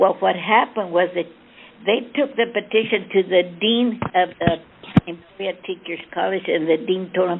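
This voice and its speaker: Amid noticeable background noise, a woman speaks at a moderate pace with a medium pitch and ordinary pitch variation. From Kansas, US, Mexican-American family. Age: 90s. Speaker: wartime factory worker. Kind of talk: oral history interview. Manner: halting.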